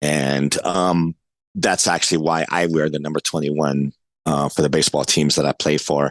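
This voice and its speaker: In a New York accent, a man with a very deep, low voice speaks in a flat monotone at a very even loudness. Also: moderate pace, dry, close sound with no echo. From New York City, East Harlem. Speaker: adaptive athlete and coach. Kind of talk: podcast interview. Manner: halting, many fillers.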